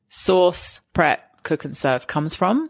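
Recorded very cleanly against a silent background, a woman with an English accent speaks at a moderate pace with a dry, close sound and no echo. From England. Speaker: podcast host, hospitality and food events professional. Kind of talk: casual interview chat. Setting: studio.

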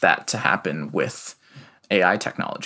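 A man with an American accent speaks at a moderate pace in a bright, sharp tone. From US Midwest (Iowa City). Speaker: researcher. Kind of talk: interview. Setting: remote call from home.

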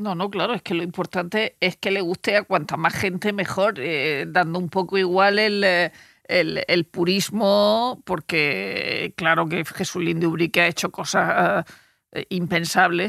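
Speaking at a fairly slow pace, a woman uses a fairly low pitch with vocal fry and ordinary pitch variation. The sound is dry and close, with no echo. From Murcia, Spain. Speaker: journalist. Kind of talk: casual chat. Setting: studio.

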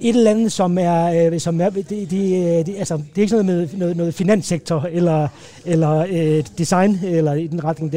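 Amid noticeable background noise, a man speaks at a high pitch with fairly even intonation. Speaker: advertising creative. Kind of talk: casual chat. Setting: restaurant. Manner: halting, many repetitions.

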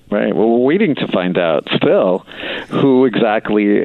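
With clearly audible noise behind him, this man keeps a moderate pace, and his pitch varies in an ordinary way. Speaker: city council member. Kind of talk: interview. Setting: phone call.

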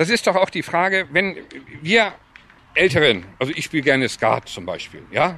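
A man with a bright, sharp tone and vocal fry speaks with very wide pitch swings and long, frequent pauses. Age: 50s. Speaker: sports club chairman. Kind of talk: interview. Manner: halting.

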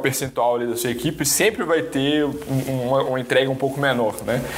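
Noticeable background noise accompanies a man with a fairly high pitch. He speaks at a moderate pace. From Brazil, Belo Horizonte. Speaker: engineer and entrepreneur. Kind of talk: interview. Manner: halting, many repetitions.

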